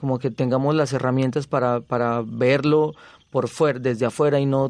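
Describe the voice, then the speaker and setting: Over a quiet background, a man with a fairly high pitch talks at a moderate pace in a monotone, flat intonation. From Colombia, Zaragoza, Bajo Cauca antioqueño. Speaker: visual artist. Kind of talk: interview testimony.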